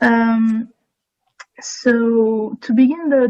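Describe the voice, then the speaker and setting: A woman with a French accent talks in a monotone, flat intonation at a fairly high pitch. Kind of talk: breakout group report.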